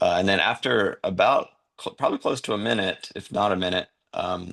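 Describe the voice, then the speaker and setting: At a moderate pace, a man with a North Carolina accent talks against a quiet background. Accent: Southern US (North Carolina). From US South, North Carolina. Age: 30s. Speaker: podcast guest, wheelchair user sharing faith story. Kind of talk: testimony. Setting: podcast interview.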